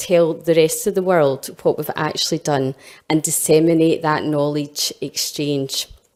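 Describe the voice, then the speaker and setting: A dark, mellow tone with a Scottish accent. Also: woman. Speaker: health innovation director. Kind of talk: conference presentation.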